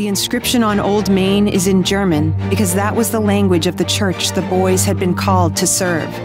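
A woman talks at a moderate pace. Clear music plays in the background, and the sound is dry with no echo. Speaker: voice actor. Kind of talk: documentary narration. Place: studio. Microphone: studio mic.

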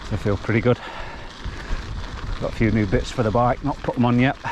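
Delivered at a fairly quick pace with ordinary pitch variation, the voice sounds dry with no echo over noticeable background noise. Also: man. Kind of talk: casual vlog chat. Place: bicycle. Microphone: helmet.

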